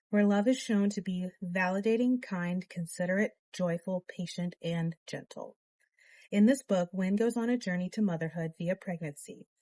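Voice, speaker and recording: Soft-spoken and somewhat breathy, a woman talks at a moderate pace and medium pitch with ordinary pitch variation, in a dry, close sound with no echo. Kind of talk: audiobook reading.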